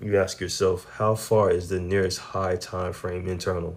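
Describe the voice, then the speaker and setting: This man talks at a fairly slow pace in a very deep, low voice. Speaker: day trader sharing trade recaps. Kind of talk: trading recap tutorial. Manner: casual, slangy.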